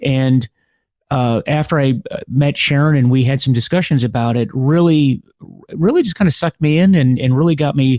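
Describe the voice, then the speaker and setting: In an American accent, a man talks at a moderate pace with a fairly high pitch and ordinary variation, the sound dry and close with no echo. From United States. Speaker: podcast host. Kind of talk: interview podcast. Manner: halting, many fillers and repeats.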